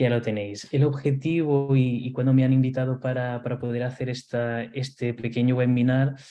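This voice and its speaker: This man's medium-pitched voice holds a monotone, flat intonation. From Portugal/Spain mixed upbringing. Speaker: nurse and simulation instructor. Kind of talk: webinar lecture. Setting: online webinar. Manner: hesitant, many fillers and repetitions.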